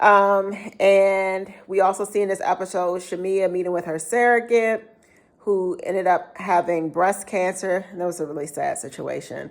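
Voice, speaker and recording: At a moderate pace, a woman with an ordinary speaking voice talks at a medium pitch with fairly even intonation. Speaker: YouTuber reviewing reality TV. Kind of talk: casual vlog review.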